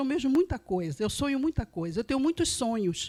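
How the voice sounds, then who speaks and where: A woman's voice swings very widely in pitch. The recording is very clean and dry, close with no echo and a silent background. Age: 70s. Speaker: association member giving testimony. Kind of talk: testimony.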